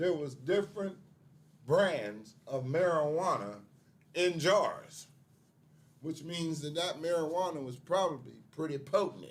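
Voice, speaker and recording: A man talks at a fairly slow pace. His fairly high voice has lively intonation. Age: 60s. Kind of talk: casual chat.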